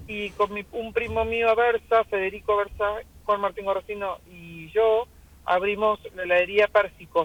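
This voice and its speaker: A woman speaks at a medium pitch and a fairly slow pace, her intonation flat and monotone. Her loudness swings widely. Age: 60s. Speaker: restaurant owner. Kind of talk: radio interview.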